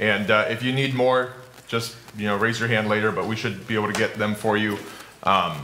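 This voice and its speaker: At a moderate pace, a man talks with audible room echo and light background noise. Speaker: pastor teaching a class. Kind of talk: lecture. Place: hall.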